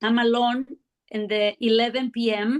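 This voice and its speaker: Here a woman talks with a non-native accent. Her voice is high in pitch. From South America. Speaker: art collector. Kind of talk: interview. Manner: halting.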